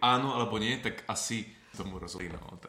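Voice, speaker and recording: Heard with audible room echo and noticeable background noise, a man talks with ordinary pitch variation. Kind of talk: interview. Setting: recorded abroad on mission trip.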